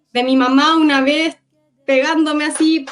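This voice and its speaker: The woman's voice sits high in pitch. Her intonation is monotone and flat. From Gaza, Palestine; born in Cuba. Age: 20s. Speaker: war survivor. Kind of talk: testimony. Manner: halting.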